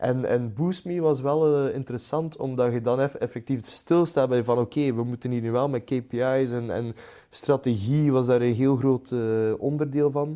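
A man's dark, mellow tone at medium pitch, moderate pace and fairly even intonation. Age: 20s. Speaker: startup founder and CEO. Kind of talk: interview. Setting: studio sofa.

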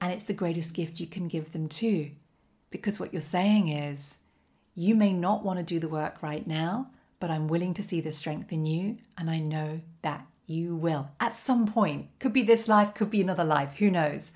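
Recorded very cleanly over a silent background, a woman with a fairly low, somewhat breathy voice talks at a moderate pace with ordinary pitch variation. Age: 40s. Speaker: life coach podcast host. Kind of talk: solo motivational monologue.

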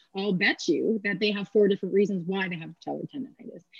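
Speaking very fast, a woman's voice comes through somewhat breathy. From Canada, Kingston, Ontario. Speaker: athletic therapist and strength coach. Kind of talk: casual interview.

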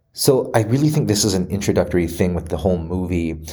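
A man with a very deep, low pitch speaks at a moderate pace. His tone is dark, mellow and somewhat breathy. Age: 30s. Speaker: movie commentary vlogger. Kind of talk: solo commentary monologue. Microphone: re-recorded after a microphone issue.

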